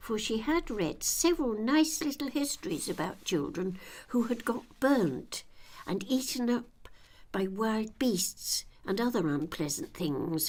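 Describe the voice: Her pitch is fairly high and her tone slightly mellow. The woman talks at a fairly slow pace with lively intonation.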